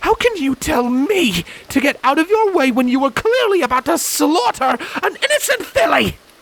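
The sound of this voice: Putting on a character voice, a man speaks at an extremely high pitch at a moderate pace, with big pitch swings, a fairly bright tone and vocal fry.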